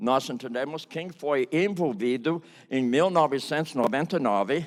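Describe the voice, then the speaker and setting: A plain, everyday voice moves at a fairly slow pace with ordinary pitch variation on a very clean recording with a silent background. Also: man. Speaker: pastor and biblical counseling teacher. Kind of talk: testimony. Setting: conference stage with audience.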